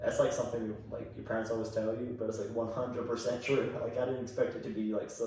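A man with an American accent talking at a very fast pace over noticeable background noise. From US, Baltimore. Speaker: podcast guest. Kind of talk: casual chat.

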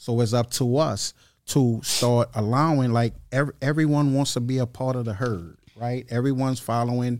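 Over a very clean recording with a silent background, a man with an unremarkable speaking voice talks at a moderate pace, medium in pitch, with fairly even intonation. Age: 40s. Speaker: spiritual mentor. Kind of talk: casual chat.

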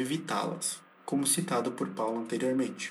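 There is noticeable background noise and audible room echo as a man with a fairly high pitch talks at a moderate pace. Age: 20s. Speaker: university student. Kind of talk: scripted narration.

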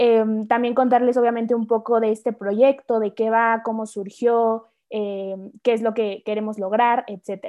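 Her intonation monotone and flat, a woman talks fairly slowly in a fairly high voice. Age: 20s. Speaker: podcast co-host, university student. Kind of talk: casual chat.

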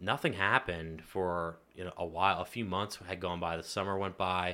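A man with an American accent, very deep and low in pitch, with a bright, sharp tone, a moderate pace and monotone, flat intonation, on a very clean recording with a silent background. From Pennsylvania, US. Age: 30s. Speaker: insurance agent. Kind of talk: interview. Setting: studio.

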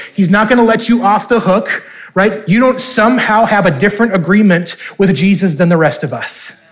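Audible room echo surrounds a man speaking with an American accent. His pitch is high for a man, with ordinary variation and a moderate pace. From US Upper Midwest, North Dakota. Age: 30s. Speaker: pastor. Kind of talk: sermon.

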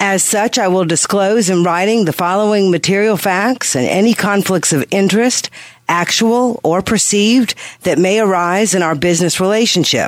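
A woman's medium-pitched voice at a moderate pace, with ordinary pitch variation and very even loudness over noticeable background noise. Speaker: financial planner radio co-host. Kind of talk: radio call-in advice show.

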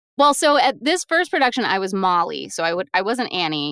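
A woman's bright, sharp voice at medium pitch with an American accent, very wide pitch swings and a fairly quick pace, on a very clean recording with a silent background and a dry, close sound with no echo. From US South, Raleigh, North Carolina. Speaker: voiceover artist and audiobook narrator. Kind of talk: interview.

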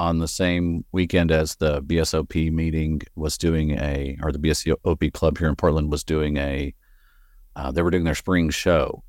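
A man with a slight Texan accent speaks at a very deep, low pitch and a moderate pace. His intonation is fairly even, and the recording is very clean with a silent background. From West Texas. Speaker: bonsai grower and nursery owner. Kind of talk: casual interview.

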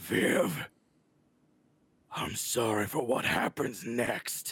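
This man uses a put-on character voice, raspy and at medium pitch. He speaks at a very slow pace. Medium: actual play. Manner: bitter, accusing.

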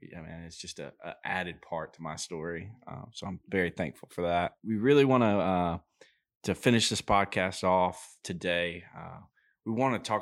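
A man with an Alabama accent and a very deep, low pitch speaks at a moderate pace on a very clean recording with a silent background. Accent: Southern US (Alabama). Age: 20s. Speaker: podcast co-host, construction worker. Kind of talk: casual chat.

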